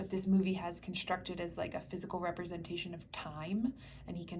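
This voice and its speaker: Here a woman speaks with an American accent at a medium pitch. Her pace is fairly quick. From US Northeast, New Jersey. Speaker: spiritual healer. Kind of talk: guided meditation talk. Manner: fast; casual with fillers.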